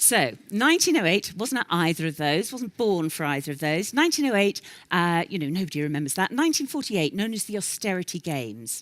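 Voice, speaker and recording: A woman with a London accent talks at a very fast pace with hardly any pauses. Her pitch swings very widely. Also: medium pitch for a woman, very clean recording, silent background. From London, England. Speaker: professional speaker. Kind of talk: keynote talk. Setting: stage with audience.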